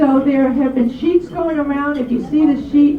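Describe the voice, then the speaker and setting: Amid noticeable background noise and audible room echo, a woman speaks at a high pitch and a fairly slow pace with fairly even intonation. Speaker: club officer making announcements. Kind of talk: meeting announcements. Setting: club meeting with audience.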